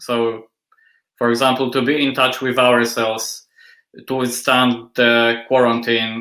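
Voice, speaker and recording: A bright, sharp tone in a Polish accent, monotone and flat, at a fairly slow pace with very even loudness. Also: man, medium pitch for a man. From Poland. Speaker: industrial designer and assistant professor. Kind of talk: interview.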